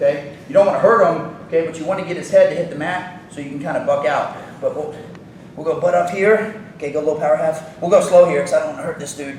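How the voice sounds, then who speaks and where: A man talks very fast in a high pitch, his loudness swinging widely. Audible room echo and noticeable background noise fill the recording. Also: ordinary pitch variation. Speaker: wrestling coach. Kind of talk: instructional demonstration at coaches clinic.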